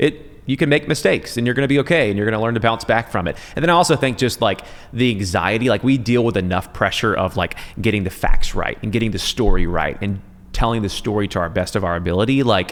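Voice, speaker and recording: Over noticeable background noise, a man with an American accent talks very fast at a medium pitch with lively intonation. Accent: Southern accent, largely trained out. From US South, Middle Georgia. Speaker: TV news anchor. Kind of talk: casual chat. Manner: clear enunciation.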